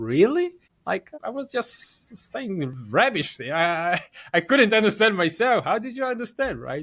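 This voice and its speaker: A man talks at a fairly slow pace in a high pitch. His pitch swings very widely, and his loudness rises and falls sharply. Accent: non-native. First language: not English. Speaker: podcast host. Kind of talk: interview conversation.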